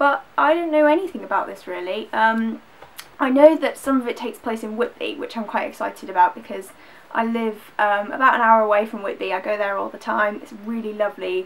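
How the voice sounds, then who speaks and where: A woman with a Yorkshire accent talks at a fairly quick pace and fairly high pitch, with lively intonation and big swings in loudness, over noticeable background noise. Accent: northern English (Yorkshire). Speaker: book vlogger. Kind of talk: casual chat. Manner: fast.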